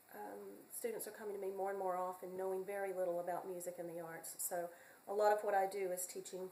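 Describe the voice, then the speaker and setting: A woman with a North Carolina accent speaks very fast at a medium pitch, her intonation flat and monotone, with audible echo in the room. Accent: US Southern (North Carolina). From North Carolina, Hickory. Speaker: community college music teacher. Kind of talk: self-introduction video. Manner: halting, many fillers.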